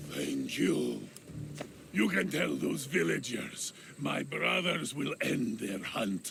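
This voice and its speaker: A man puts on a character voice. He speaks at a very slow pace over clear background noise. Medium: video game. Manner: calm, unworried.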